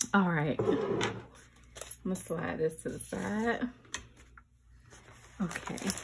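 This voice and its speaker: Someone uses a put-on character voice that sounds raspy. It moves at a fairly slow pace over noticeable background noise. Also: woman, fairly low pitch for a woman. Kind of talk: casual vlog chat. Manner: enthusiastic.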